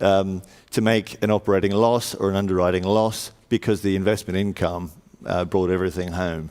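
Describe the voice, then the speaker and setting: A man with an Australian accent and a very deep, low pitch talks at a fairly quick pace in a monotone, flat way, his loudness very even. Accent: Australian twang. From Australia, Sydney. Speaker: panel moderator, insurance consultancy leader. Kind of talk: conference panel introduction. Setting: stage with audience. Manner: hesitant, many fillers.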